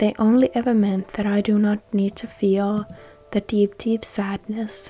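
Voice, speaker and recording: Over music in the background, a woman with a non-native accent speaks at a fairly slow pace in a medium pitch with monotone, flat intonation. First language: not English. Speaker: gaming YouTuber. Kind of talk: casual talk over gameplay. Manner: earnest, emotional.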